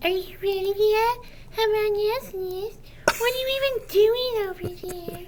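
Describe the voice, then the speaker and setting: A squeaky, put-on character voice at an extremely high pitch and moderate pace, with clear background noise. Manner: mocking, impatient.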